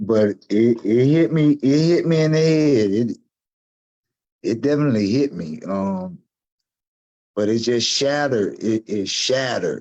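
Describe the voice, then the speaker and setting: A man with a Southern US accent speaks at a medium pitch in a dark, mellow tone. His pace is fairly slow with long, frequent pauses, yet his intonation is lively. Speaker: gun violence survivor. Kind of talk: interview testimony. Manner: halting, with repetitions.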